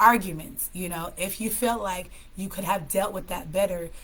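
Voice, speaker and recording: With an American accent, a woman speaks at medium pitch and a moderate pace, with fairly even intonation, noticeable background noise and audible room echo. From California. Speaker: live stream host, mental health speaker. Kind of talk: casual live stream talk with tips. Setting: live stream.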